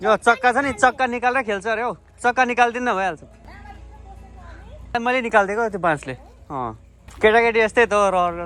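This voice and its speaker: A man speaks at a moderate pace with a high pitch and ordinary pitch variation. He pauses long and often, with music playing in the background. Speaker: vlogger. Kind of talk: casual vlog. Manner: stutter.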